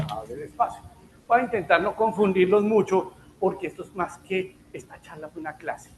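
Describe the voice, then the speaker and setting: Talking at a fairly quick pace, a man uses a high pitch. Noticeable background noise can be heard. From Colombia, Bogotá. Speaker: health economics speaker, physician. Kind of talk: lecture.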